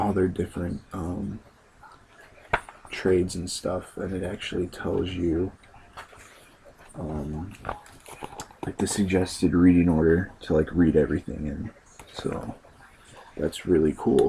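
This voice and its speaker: Against noticeable background noise, a man with a very deep, low voice speaks quietly at a fairly slow pace, with fairly even intonation and long, frequent pauses. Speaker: comic book video blogger. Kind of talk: casual chat. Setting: at home late at night. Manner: hesitant, many fillers. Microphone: voice a little quiet.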